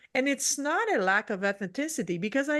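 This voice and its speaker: A woman speaks in a French accent at a moderate pace. Her pitch swings very widely over a quiet background. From French-speaking region. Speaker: leadership strategist. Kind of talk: podcast interview. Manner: halting, self-correcting.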